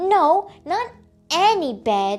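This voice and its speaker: With music in the background, a put-on character voice leaps through very wide pitch swings. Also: woman. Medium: read story. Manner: whiny, complaining.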